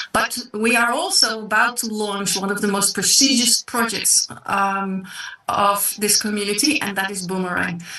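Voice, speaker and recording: A woman speaks at medium pitch and moderate pace. Her intonation is fairly even, with noticeable background noise. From South Africa and the Netherlands. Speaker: online business presenter. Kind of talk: sales pitch.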